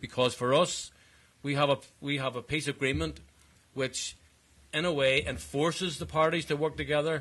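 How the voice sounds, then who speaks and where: Using vocal fry, a man with a fairly high pitch speaks at a moderate pace with fairly even intonation and long, frequent pauses. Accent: Belfast. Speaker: politician. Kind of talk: conference speech. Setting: conference panel with audience. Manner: formal.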